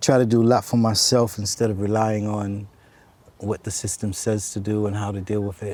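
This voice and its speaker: A man with an American accent talks at a fairly quick pace. His fairly low voice stays monotone and flat. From US Northeast, New York City (Bronx, Harlem). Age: 60s. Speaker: stranger on a park bench. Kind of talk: casual conversation.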